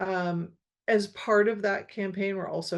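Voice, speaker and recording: Against a quiet background, a woman with a plain, everyday voice speaks at a moderate pace and medium pitch, her intonation fairly even. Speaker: school board trustee. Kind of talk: community meeting update. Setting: online meeting.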